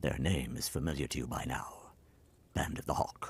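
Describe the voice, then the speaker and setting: A man whispering in a put-on character voice at a moderate pace. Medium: fan dub. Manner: calm, quietly authoritative.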